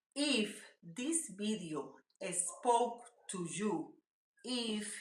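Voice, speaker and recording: With a strong Spanish accent and lively intonation, a woman speaks in a somewhat breathy voice amid audible room echo. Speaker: mental health YouTuber. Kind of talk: motivational talk to camera.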